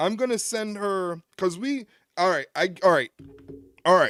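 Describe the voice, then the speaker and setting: Speaking with an American accent, a man has a high pitch and ordinary pitch variation. The sound is dry and close, with no echo. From New York. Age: 30s. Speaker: wrestling live-stream host. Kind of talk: live stream chat reacting to chat. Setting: live stream. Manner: casual, conversational.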